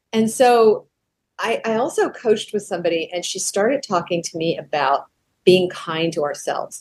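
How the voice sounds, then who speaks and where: The voice is a plain, everyday voice with lively intonation. It moves at a moderate pace. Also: woman, fairly high pitch for a woman. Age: 60s. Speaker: professional vocalist and artist. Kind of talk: interview conversation.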